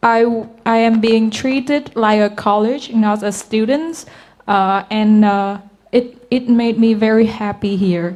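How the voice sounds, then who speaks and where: Spoken at a very slow pace with a Vietnamese accent, the voice keeps a fairly even intonation. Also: woman. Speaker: university student. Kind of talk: webinar testimony. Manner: halting, many fillers.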